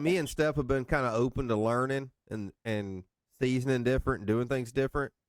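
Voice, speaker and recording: A man with a slight North Alabama accent, ordinary pitch variation, and a dry, close sound with no echo. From northeast Mississippi. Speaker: podcast host. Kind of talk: casual chat.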